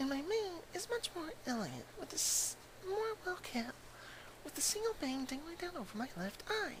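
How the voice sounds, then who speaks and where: A put-on character voice speaks at a moderate pace over loud background noise. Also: man, extremely high pitch for a man. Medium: virtual streamer. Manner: pleased with her looks, presenting herself.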